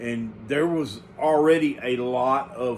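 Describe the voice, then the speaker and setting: Audible room echo hangs on this man's voice. His pitch variation is ordinary. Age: 50s. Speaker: home canning channel host. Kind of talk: casual monologue to viewers. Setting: early morning home recording. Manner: halting with many fillers.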